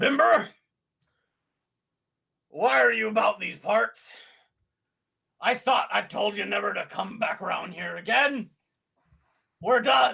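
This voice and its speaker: A gruff, raspy put-on character voice from a man, high in pitch and fairly slow, with long, frequent pauses. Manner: hostile, warning.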